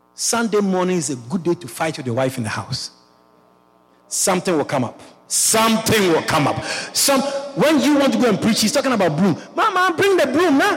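Amid noticeable background noise, a man speaks at a high pitch and a moderate pace, his pitch swinging very widely. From Ghana. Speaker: pastor. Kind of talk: sermon. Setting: church.

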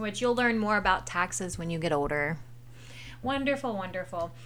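A woman with an American accent speaks at a medium pitch with lively intonation in a plain, everyday voice. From US South. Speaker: parent hosting a family history podcast. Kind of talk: casual educational chat for children.

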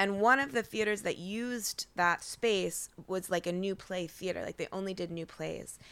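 With an American accent and a normal speaking voice, the speaker keeps a moderate pace, ordinary pitch variation and hardly any pauses. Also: woman, medium pitch for a woman. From Portland, Oregon. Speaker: playwright. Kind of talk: casual interview chat. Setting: at home on couch. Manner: frequent laughter and fillers.

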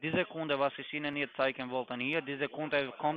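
At a moderate pace, a man delivers monotone, flat intonation at a fairly high pitch. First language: not German (speaking German). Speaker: scam caller posing as financial expert. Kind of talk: sales pitch.

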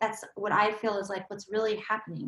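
A woman speaks with an American accent and a fairly high pitch. Her voice is somewhat breathy. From Southern California. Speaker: solo show performer and coach. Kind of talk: casual chat.

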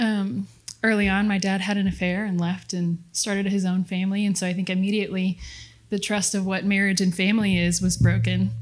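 A somewhat breathy woman with a warm tone speaks at a medium pitch and a fairly quick pace, her intonation monotone and flat. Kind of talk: testimony. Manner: earnest, warm, heartfelt.

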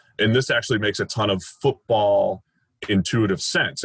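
A man speaks with an American accent. His pitch sits at a medium level. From Boston, US. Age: 30s. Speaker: football analyst, former baseball player. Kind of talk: podcast interview.

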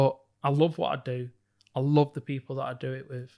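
A man's medium-pitched voice in a flat monotone. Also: very clean recording, silent background. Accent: northern English. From northern England (Bolton). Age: 30s. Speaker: psychologist and entrepreneur. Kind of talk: interview.

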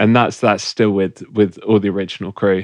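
In a West Country accent, a man with a fairly low pitch speaks in a monotone, flat intonation, the sound dry and close with no echo over a quiet background. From England, Bristol. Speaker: DJ and producer. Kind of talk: casual chat.

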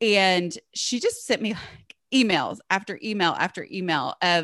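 A woman's medium-pitched voice with a Southern US accent, a bright, sharp tone and lively intonation, over a quiet background. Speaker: blogger and author on home organizing. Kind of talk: casual interview chat.

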